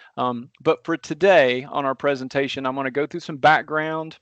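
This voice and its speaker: At a fairly quick pace, the speaker talks in a strong Southern US accent with monotone, flat intonation, in a dry, close sound with no echo and a quiet background. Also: man. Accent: deep Southern twang. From US South. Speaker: transportation engineer. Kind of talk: technical presentation.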